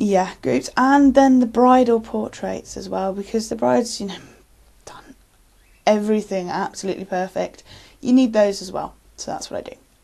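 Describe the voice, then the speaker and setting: A woman with a British accent talks at a moderate pace in a dark, mellow tone, her intonation lively and her loudness swinging widely. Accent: English (UK). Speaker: photographer. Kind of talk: casual self-introduction to camera. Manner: halting, many fillers.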